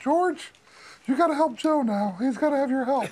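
A put-on character voice with a high pitch. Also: moderate pace. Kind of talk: casual round-table storytelling. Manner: urgent, shouting instructions.

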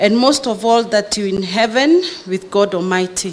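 At a moderate pace, a woman talks with ordinary variation in pitch. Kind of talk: eulogy reading. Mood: grieving, emotional. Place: hall. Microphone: podium.

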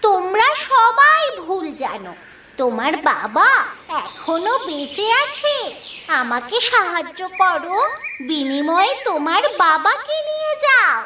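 A cartoonish character voice at an extremely high pitch, very slow in pace, with very wide pitch swings. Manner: mysterious, persuasive.

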